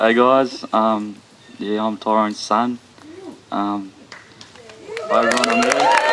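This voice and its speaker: A man with a New Zealand accent speaks in a nervous tone at a fairly slow pace, with long, frequent pauses. Noticeable background noise runs throughout. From Australia. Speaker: son of the deceased. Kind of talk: eulogy. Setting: funeral gathering. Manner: nervous, hesitant with many ums.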